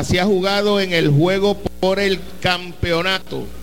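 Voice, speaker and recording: Speaking at a very slow pace, a man with a high pitch keeps fairly even intonation over noticeable background noise and audible room echo. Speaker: sports radio host. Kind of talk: sports talk show. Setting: stadium lobby, live event.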